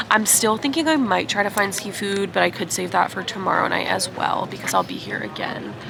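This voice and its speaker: This woman, who has an American accent, talks fairly quickly while noticeable background noise plays behind her. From United States. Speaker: travel vlogger. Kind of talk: casual vlog talk to camera.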